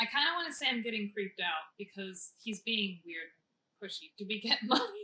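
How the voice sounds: Quiet background behind a natural reading voice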